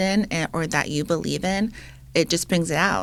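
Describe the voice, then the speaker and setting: Soft-spoken, a woman uses a fairly low pitch and lively intonation. The recording is very clean, with a silent background. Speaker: bridal seamstress, podcast co-host. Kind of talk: casual chat.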